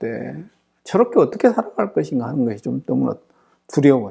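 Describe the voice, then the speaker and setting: A man speaks at a moderate pace. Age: 60s. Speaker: seminary professor and pastor. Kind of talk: lecture.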